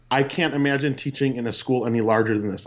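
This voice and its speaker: Speaking fairly quickly, a man with an Upper Midwest accent has a medium-pitched voice. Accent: Upper Midwest American. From US Midwest (Peshtigo, Wisconsin). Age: 30s. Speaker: teacher. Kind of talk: casual chat.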